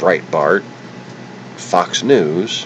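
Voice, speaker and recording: A man is speaking. Noticeable background noise is heard behind him. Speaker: political livestreamer. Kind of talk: angry political rant. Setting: livestream on camera. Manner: stuttering.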